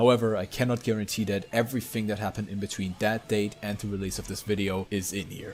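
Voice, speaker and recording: A man talks at a fairly quick pace in a German accent, his voice fairly low in pitch. Music plays in the background. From Germany. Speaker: YouTuber, drama commentator. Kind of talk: commentary video narration.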